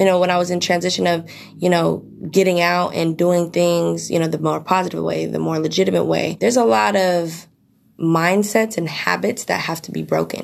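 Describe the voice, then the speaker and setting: A woman speaks with a Bay Area accent. Her pace is moderate. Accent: Bay Area American. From East Bay, California. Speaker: junior broker, mentee. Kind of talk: interview.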